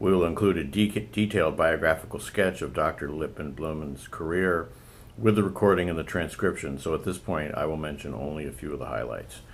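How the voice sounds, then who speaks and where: A man's very deep, low pitch with vocal fry, ordinary pitch variation and a fairly quick pace. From New England. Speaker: oral historian interviewer. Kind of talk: oral history interview. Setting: interviewee's home. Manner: formal.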